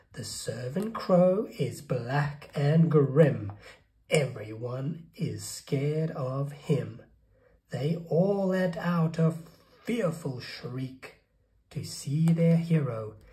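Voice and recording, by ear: The voice has a dark, mellow tone and lively intonation at a very slow pace. Room echo is audible. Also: man, fairly high pitch for a man.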